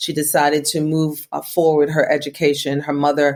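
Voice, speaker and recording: A woman speaks in a very deep, low voice with monotone, flat intonation. Her pace is moderate. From Jamaica. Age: 50s. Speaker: reverend and spiritual director. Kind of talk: interview, personal story. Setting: podcast interview.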